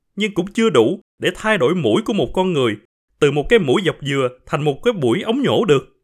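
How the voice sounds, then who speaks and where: Pitch swings very widely here. The speed is moderate. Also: man. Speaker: podcast host and storyteller. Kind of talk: reading aloud a short story.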